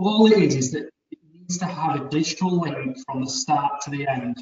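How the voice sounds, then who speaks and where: The speaker is a man. He has a Leeds accent. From Leeds, northern England. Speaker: business advisor. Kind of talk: webinar presentation.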